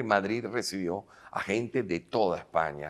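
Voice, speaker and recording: The man's voice sits at a very deep, low pitch. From Venezuela (Caracas). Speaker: filmmaker and actor; actor. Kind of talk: interview. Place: hall. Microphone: lapel.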